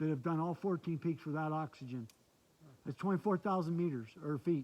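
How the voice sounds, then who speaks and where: The voice carries a dark, mellow tone and an American accent. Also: man. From Michigan. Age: 60s. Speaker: hiker and vlogger. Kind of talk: casual chat. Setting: outdoors. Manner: animated.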